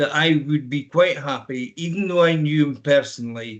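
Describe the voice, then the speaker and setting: Here a man speaks in a Scottish accent. His pitch is fairly high. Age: 60s. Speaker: councillor. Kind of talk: council meeting debate. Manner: halting, many fillers.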